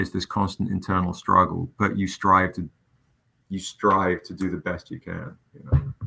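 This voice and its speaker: Here a man speaks in a very deep, low pitch with a bright, sharp tone and ordinary pitch variation. His loudness swings widely at a moderate pace. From England. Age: 40s. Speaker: comic book publisher and writer. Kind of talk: casual interview chat. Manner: animated, passionate.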